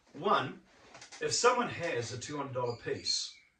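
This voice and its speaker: A man talks fairly slowly while audible room echo hangs around his words. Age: 60s. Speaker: memorabilia collector. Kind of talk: casual chat.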